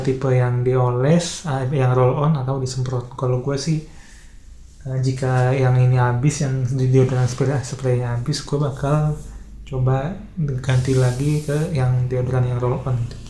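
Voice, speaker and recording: Soft-spoken, a man at medium pitch talks at a fairly slow pace. His intonation is monotone and flat, with audible room echo. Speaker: vlogger. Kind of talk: casual monologue vlog.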